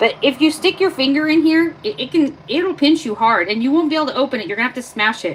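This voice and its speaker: Against noticeable background noise, a woman talks loudly at a fairly quick pace with lively intonation. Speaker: livestreamer. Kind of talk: live stream tutorial. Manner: casual.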